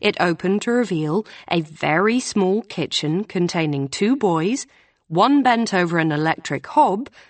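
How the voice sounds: This is a natural reading voice. The intonation rises and falls in a lively way.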